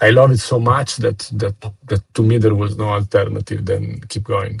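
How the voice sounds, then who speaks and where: Speaking at a moderate pace with a non-native accent, a man uses a fairly low pitch and flat, monotone intonation in a dry, close sound with no echo. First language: not English. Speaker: trader. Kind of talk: interview. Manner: halting.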